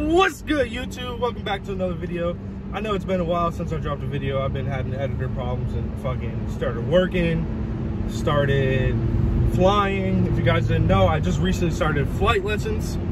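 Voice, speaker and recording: A man talks at a moderate pace amid loud background noise, in a dry recording without echo. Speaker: vlogger. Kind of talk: casual vlog chat. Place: car. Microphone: phone near.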